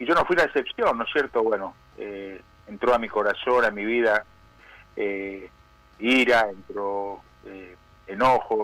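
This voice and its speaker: Pausing long and often, a man with a fairly low, bright, sharp voice shows big swings in loudness and ordinary pitch variation. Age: 60s. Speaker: prison pastor, former criminal. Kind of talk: testimony. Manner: halting, many fillers.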